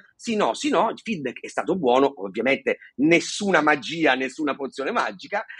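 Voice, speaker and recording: Passionate in tone, a man talks at a fairly quick pace in a fairly high voice with very wide pitch swings, the sound dry and close with no echo. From Sicily. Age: 40s. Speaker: stuttering therapy center founder, stutterer. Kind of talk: casual interview. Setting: video call. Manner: fluent, passionate, occasional hesitations.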